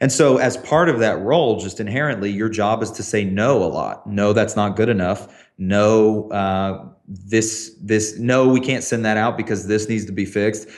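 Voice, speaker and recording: A man with an American accent, fairly low-pitched, talking with hardly any pauses amid audible room echo. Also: ordinary pitch variation, moderate pace. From US South, small town. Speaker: tech creative director, former TV production. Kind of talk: interview conversation.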